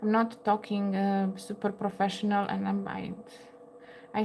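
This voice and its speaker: Over noticeable background noise, a woman talks at a fairly slow pace in a medium pitch with monotone, flat intonation. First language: Romanian. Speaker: crochet livestreamer. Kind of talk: casual livestream chat. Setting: home livestream at table. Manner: halting, many fillers.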